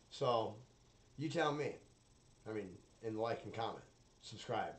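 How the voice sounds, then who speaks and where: A man speaks with ordinary pitch variation against noticeable background noise. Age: 30s. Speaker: solo podcaster. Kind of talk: casual monologue.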